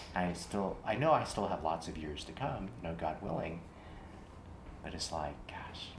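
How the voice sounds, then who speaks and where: A man speaks with a very deep, low pitch and fairly even intonation, somewhat breathy, at a moderate pace. Room echo is audible. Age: 60s. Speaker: clinician in training. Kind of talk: therapy role-play demonstration. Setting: training workshop in Austin, Texas.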